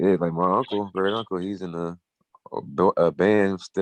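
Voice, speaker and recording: A man with a very deep, low pitch speaks in fairly even intonation with a dry, close sound and no echo. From Buffalo, New York. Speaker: rapper. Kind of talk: interview. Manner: casual, filler-heavy.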